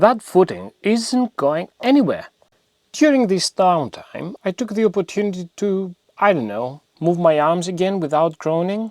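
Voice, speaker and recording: Speaking at a fairly slow pace, a man with a Greek accent uses a high pitch and lively intonation, recorded very cleanly against a silent background with a dry, close sound and no echo. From Greece. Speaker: DIY home renovation youtuber. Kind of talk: scripted narration. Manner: humorous, conversational.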